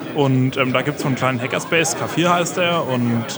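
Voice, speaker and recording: Amid noticeable background noise and audible room echo, a man speaks at a medium pitch and moderate pace with fairly even intonation. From Franconia, Germany. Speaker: community network volunteer. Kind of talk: interview.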